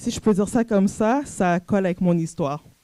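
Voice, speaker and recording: A woman with a Canadian French accent speaks fairly slowly in a dark, mellow tone. Her pitch is medium with ordinary variation. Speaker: coach and entrepreneur, conference speaker. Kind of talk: personal testimony talk at a conference.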